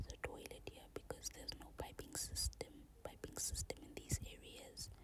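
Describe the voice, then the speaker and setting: Whispering with a gentle tone, a woman speaks over noticeable background noise. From South Africa, Eastern Cape. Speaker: ASMR creator. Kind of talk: casual talk to camera, voiceover. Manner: soft-spoken, gentle.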